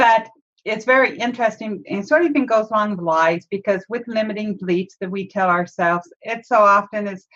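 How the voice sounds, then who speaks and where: A woman with a normal speaking voice, fairly high in pitch, talks at a fairly quick pace. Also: ordinary pitch variation. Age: 50s. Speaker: podcast host and marketing coach. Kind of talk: casual chat. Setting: video call.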